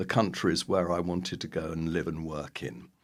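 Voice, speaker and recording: Here a man talks with an English accent. The background is silent and the recording very clean. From London, England. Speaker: public health professor. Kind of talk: interview.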